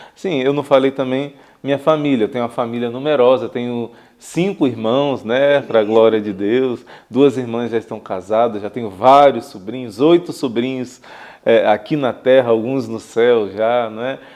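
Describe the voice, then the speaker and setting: A man's medium-pitched voice, ordinary pitch variation, moderate pace. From Brazil, Rio de Janeiro state (Niterói, São Gonçalo). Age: 40s. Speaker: religious brother. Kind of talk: interview. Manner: hesitant fillers.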